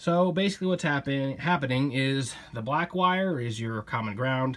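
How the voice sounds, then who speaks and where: A man at a moderate pace with lively intonation. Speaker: hobbyist explaining radio wiring. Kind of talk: casual tutorial with jokes. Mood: sarcastic, self-mocking humor. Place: home room. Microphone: phone near.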